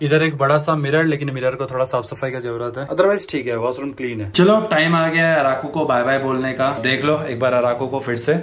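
Light background noise sits under a man talking at a fairly quick pace, with ordinary pitch variation and hardly any pauses. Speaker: travel vlogger. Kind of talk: casual vlog chat. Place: train. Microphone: phone near.

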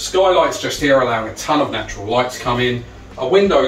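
A man talks at a fairly quick pace, with audible room echo and light background noise. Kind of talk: property tour presentation. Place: home room.

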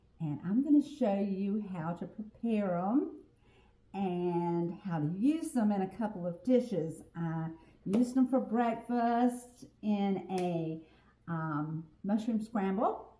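A woman speaks in a dark, mellow, somewhat breathy tone. Her pace is very slow, with audible room echo. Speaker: home cook host. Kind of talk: casual cooking tutorial chat. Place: kitchen. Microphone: camera far.

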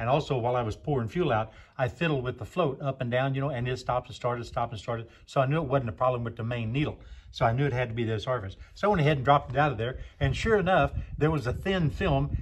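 A man talks at a very fast pace with vocal fry and ordinary pitch variation. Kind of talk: casual repair explanation. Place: garage.

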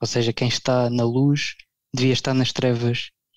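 Recorded with a dry, close sound and no echo, this man's voice is somewhat breathy. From Portugal. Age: 30s. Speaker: blogger. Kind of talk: casual chat.

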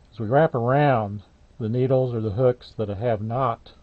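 A man speaks with fairly even intonation. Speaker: craft demonstrator. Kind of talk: tutorial.

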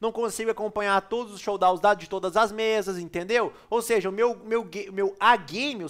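Pitch moves in an ordinary way as a man talks fairly quickly. The audio is very clean, and the background is silent. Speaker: poker player and video creator. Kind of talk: poker tournament analysis tutorial. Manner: casual, slangy and animated.

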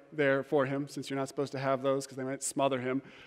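The setting is quiet. A man does the talking. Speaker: preacher. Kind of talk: sermon. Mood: humorous, warm storytelling. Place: church.

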